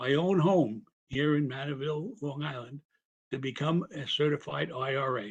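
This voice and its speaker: Somewhat breathy, a man speaks at a moderate pace and a fairly high pitch. His pitch varies in an ordinary way. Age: 80s+. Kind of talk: public comment at meeting. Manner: halting, many repetitions.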